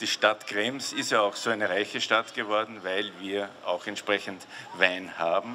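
Light background noise sits behind a man who is talking. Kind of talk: public welcome speech. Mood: jovial, proud, joking. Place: street. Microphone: handheld.

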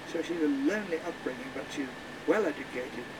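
A man speaks fairly quickly, varying his pitch in an ordinary way. Noticeable background noise can be heard around him. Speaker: tour guide. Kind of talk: storytelling commentary.

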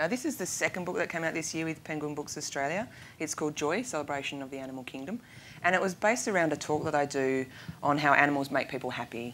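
A woman at a very deep, low pitch and a very fast pace, with light background noise. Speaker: guest. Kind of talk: interview answer. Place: studio. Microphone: lapel.

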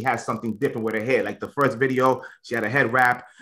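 Against a quiet background, a man with an American accent talks at a very fast pace in a bright, sharp tone. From US, New England. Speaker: radio and podcast host. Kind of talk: casual interview. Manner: casual, animated. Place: kitchen.

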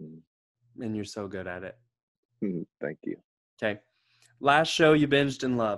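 With big swings in loudness and lively intonation, a man speaks at a moderate pace in a fairly low voice, pausing long and often against a quiet background. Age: 30s. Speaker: vocal group singer and interviewer; interviewer. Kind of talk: interview. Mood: friendly, upbeat. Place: home room. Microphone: video call.

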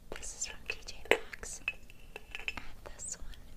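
A soft-spoken woman whispering over loud background noise. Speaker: beauty vlogger. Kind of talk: casual tutorial chat. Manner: soft close whisper. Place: home room. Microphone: phone near.

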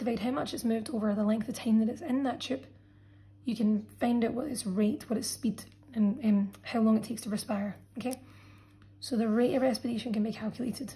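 Dark, mellow tone, somewhat breathy, with fairly even intonation and a fairly quick pace. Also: woman. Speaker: biology teacher. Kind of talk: tutorial.

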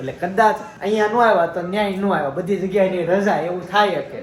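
Amid crowd noise in the background, a man talks with audible room echo. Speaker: family vlogger. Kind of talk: casual vlog.

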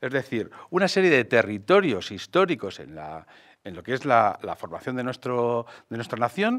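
Over a quiet background, a man at a medium pitch talks at a fairly slow pace with very wide pitch swings. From Madrid, Spain; Spain. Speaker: mayoral candidate, architect; candidate. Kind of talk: political interview. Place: studio. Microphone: studio mic.

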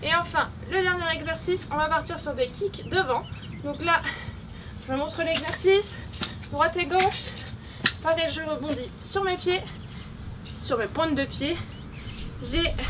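A woman speaks in an extremely high pitch at a fairly slow pace, with ordinary pitch variation. Long, frequent pauses break up her speech over noticeable background noise. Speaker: fitness coach. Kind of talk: workout tutorial instructions. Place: open country.

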